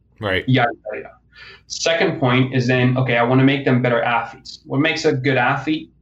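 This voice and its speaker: With a plain, everyday voice, a man at medium pitch speaks at a fairly quick pace with fairly even intonation. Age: 20s. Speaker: strength and conditioning coach. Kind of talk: casual interview. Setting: phone or remote call.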